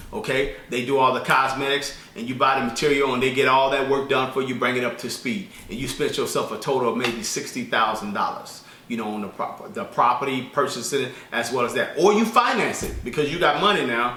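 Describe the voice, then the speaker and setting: The speech runs at a fairly quick pace with hardly any pauses and ordinary pitch variation over noticeable background noise. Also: man, medium pitch for a man. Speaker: herbalist and business credit teacher. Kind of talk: casual tutorial vlog. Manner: fast; halting with fillers and repeats.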